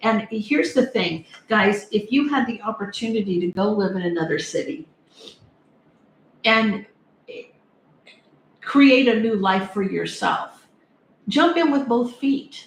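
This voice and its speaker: Using lively intonation, a woman speaks at a fairly slow pace with long, frequent pauses. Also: fairly high pitch for a woman. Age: 60s. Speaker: tarot reader. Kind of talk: live-stream tarot reading. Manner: casual, chatty.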